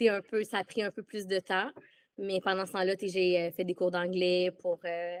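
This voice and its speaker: A woman in a Quebec accent at a medium pitch, monotone and flat, fairly slow, on a very clean recording with a silent background. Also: dry, close sound with no echo. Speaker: former theme park employee. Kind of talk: casual interview. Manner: halting.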